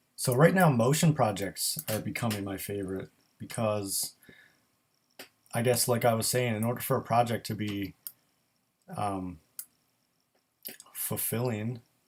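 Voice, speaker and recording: A man at a moderate pace, broken by long, frequent pauses. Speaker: graphic designer. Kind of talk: live stream Q&A. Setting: live stream. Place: home room. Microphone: built-in microphone.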